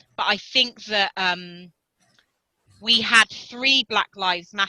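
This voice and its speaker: A woman's medium-pitched voice with a bright, sharp tone, ordinary pitch variation and a very slow pace. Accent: British. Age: 40s. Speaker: ultra runner and activist. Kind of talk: interview answer.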